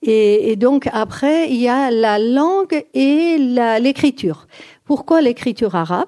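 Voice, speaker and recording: A woman's high voice with a dark, mellow tone and very wide pitch swings. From Iran. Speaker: speaker on Persian language and culture. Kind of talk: lecture. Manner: halting.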